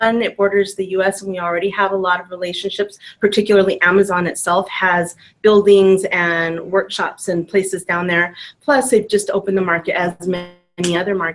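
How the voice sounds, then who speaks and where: A woman speaks at a fairly quick pace in a medium pitch. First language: Spanish. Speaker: business trainer. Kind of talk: casual chat. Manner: animated.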